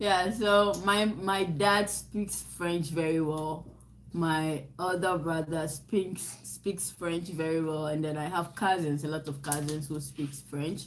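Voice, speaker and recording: Audible room echo surrounds a woman with a very deep, low pitch. She speaks at a very slow pace with fairly even intonation. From Ghana. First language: Nzema. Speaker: livestream co-host. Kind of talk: casual chat.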